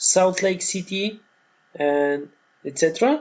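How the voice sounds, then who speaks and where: At a very slow pace, a man with a Bulgarian accent talks in a high pitch with ordinary pitch variation. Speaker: online course instructor. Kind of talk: tutorial. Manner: halting, many fillers.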